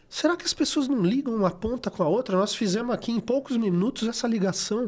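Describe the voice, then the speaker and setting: Extremely high-pitched, a man speaks at a fairly quick pace with lively intonation. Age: 60s. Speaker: recycling NGO coordinator. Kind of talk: podcast interview.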